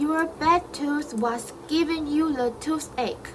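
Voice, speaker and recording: A put-on character voice at a very slow pace over clear background noise. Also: woman. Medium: read story.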